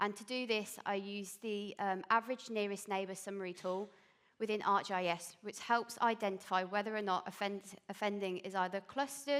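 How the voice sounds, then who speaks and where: A woman's voice at a moderate pace with a slight Birmingham accent and fairly even intonation. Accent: slight Birmingham twang. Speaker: police intelligence analyst. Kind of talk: conference presentation. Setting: stage with audience.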